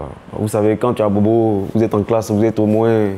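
With a dark, mellow tone and fairly low pitch, the man talks at a fairly quick pace in monotone, flat intonation. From Côte d'Ivoire, Abidjan (Abobo). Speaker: former footballer. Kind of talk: documentary interview. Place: home room.

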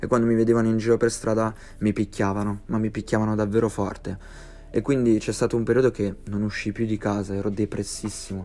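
A man with a fairly low pitch, monotone, flat intonation and a very fast pace. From Piedmont, northern Italy (Verbania). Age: 20s. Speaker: YouTuber. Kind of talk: personal life story narration.

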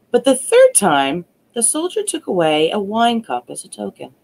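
The woman talks fairly slowly. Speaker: storyteller. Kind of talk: reading a fairy tale aloud. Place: home room.

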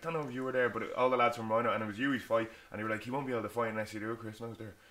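A man speaks at a very fast pace. He leaves hardly any pauses. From Ireland. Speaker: MMA fighter and podcast co-host; podcast co-host. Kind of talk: casual chat. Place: home room.

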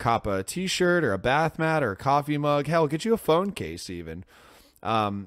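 The man speaks at a moderate pace with very wide pitch swings. His sound is dry with no echo. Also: quiet background. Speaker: podcast host. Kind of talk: podcast intro and plugs. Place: home room. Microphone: studio mic.

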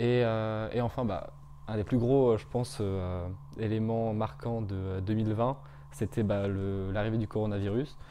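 The tone is dark and mellow, with ordinary pitch variation. The pace is fairly slow, with light background noise. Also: man. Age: 20s. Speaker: business school student. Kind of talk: interview testimony. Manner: hesitant, many fillers. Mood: upbeat, friendly. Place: home room. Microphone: lapel.

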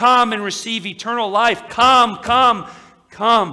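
A man with a high pitch uses a raised, projected voice with fairly even intonation. He talks at a fairly slow pace against a quiet background. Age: 30s. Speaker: pastor. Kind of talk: sermon. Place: church.

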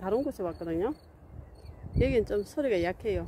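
At a moderate pace, a woman speaks in a dry sound with no echo, with noticeable background noise behind her. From South Korea. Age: 50s. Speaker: vlogger. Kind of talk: casual vlog narration. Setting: outdoors. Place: open country. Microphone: phone near.

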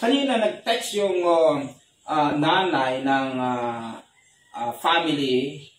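A man's solemn tone with lively intonation at a very slow pace, amid audible room echo and light background noise. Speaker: pastor. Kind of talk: fervent prayer, addressing God aloud. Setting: online church service, remote at home. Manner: earnest, pleading, solemn and heartfelt. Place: home room.

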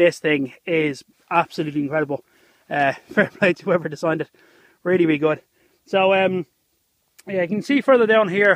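The speaker talks at a fairly quick pace against a quiet background, with a dry sound and no echo. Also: man, high pitch for a man, ordinary pitch variation. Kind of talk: casual vlog chat. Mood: relaxed, upbeat. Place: open country. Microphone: phone near.

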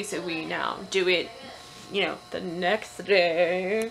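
Light background noise accompanies a woman speaking with fairly even intonation. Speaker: family vlogger. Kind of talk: casual vlog chat. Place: home room. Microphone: phone near.

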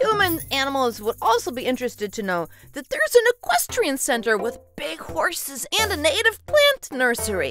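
A female-sounding cartoonish character voice speaks at a moderate pace over faint music in the background. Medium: puppet. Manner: upbeat, excited.

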